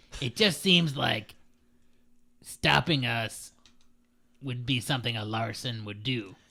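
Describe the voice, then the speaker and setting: Using a put-on character voice, a man goes at a fairly slow pace with long, frequent pauses. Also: medium pitch for a man. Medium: actual play. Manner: pompous, blunt.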